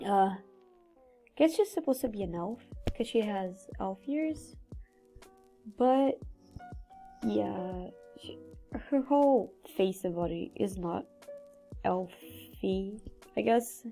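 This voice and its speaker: Music plays in the background as the speaker talks at a very slow pace, leaving long, frequent pauses. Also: woman. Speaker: digital artist. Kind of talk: casual speedpaint commentary. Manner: casual, rambling.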